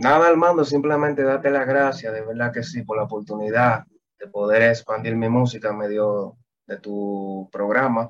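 In a plain, everyday voice, a man speaks at a moderate pace and medium pitch, with ordinary pitch variation and big swings in loudness. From Dominican Republic, Santo Domingo. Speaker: singer-songwriter. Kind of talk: interview.

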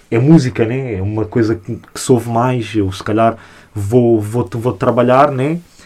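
Somewhat breathy, the man's voice comes through. His intonation stays fairly even. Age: 20s. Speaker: hip-hop media creator. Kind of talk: casual chat. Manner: halting.

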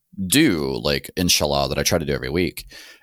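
Speaking at a moderate pace with vocal fry and ordinary pitch variation, a man is heard on a very clean recording with a silent background. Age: 30s. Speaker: podcast host. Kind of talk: casual chat.

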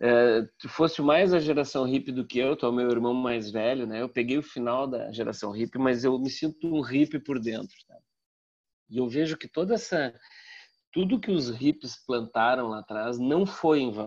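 A man with a plain, everyday voice speaks at a medium pitch and a moderate pace with ordinary pitch variation. His loudness swings widely against a quiet background. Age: 50s. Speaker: communication professor and marketer. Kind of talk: casual interview.

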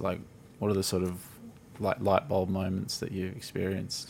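A very deep, low-voiced man talks with an Australian accent. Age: 30s. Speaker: podcast host. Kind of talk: casual chat.

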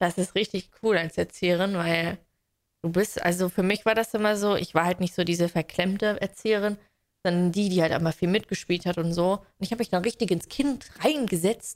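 The pace is moderate. This woman's voice rests at a medium pitch. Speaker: podcast co-host, trained childcare worker. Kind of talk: casual chat. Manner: animated.

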